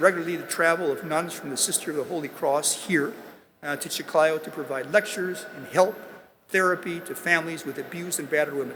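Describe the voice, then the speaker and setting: A man with an American accent speaks at a high pitch with ordinary pitch variation. His pace is fairly quick, with noticeable background noise behind him. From US Midwest. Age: 80s+. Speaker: business executive. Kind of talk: commencement speech. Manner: halting.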